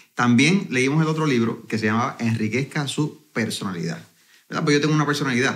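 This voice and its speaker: Vocal fry marks this man's medium-pitched voice. He moves at a fairly quick pace with lively intonation. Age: 40s. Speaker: network marketing entrepreneur. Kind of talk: interview conversation.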